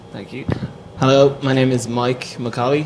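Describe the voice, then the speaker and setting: A man speaks with a Dublin accent. Noticeable background noise and audible room echo come through. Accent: Irish (Dublin). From Ireland, Dublin. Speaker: lead designer at a branding agency. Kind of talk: panel discussion.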